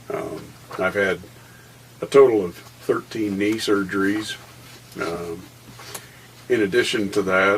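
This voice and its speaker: Over noticeable background noise, a man with a fairly low pitch speaks at a fairly slow pace, with long, frequent pauses. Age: 60s. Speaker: war veteran. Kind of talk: interview. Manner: halting, many fillers.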